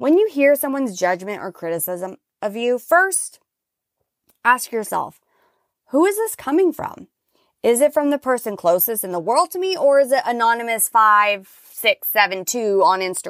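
Loud and animated, a woman speaks at a fairly high pitch with very wide pitch swings. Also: moderate pace, dry, close sound with no echo, very clean recording, silent background. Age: 30s. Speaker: podcast host. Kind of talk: motivational solo monologue. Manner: loud, animated.

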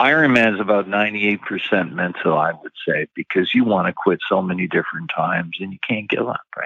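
In a normal speaking voice, a man with a fairly low pitch talks at a moderate pace with lively intonation and hardly any pauses. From Canada. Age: 60s. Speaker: retired bank worker and triathlete. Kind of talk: casual interview.

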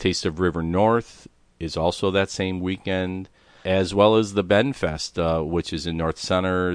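The speaker has a Chicago accent. The background is quiet. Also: man. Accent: Chicago American. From Chicago, South Side. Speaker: podcast producer and host. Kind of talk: solo event roundup.

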